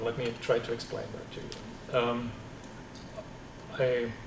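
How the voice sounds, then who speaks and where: Someone with a German accent speaks at a fairly slow pace amid audible room echo and noticeable background noise. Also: man. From East Germany. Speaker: computer science professor. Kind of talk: seminar talk with Q&A. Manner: halting, repeats words.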